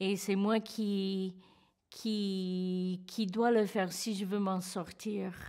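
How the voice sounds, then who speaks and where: Against a quiet background, a woman with an English accent speaks in a dark, mellow tone at a medium pitch with monotone, flat intonation. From California. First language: English (speaking French). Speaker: terror attack survivor. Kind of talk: testimony. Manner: halting. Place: studio.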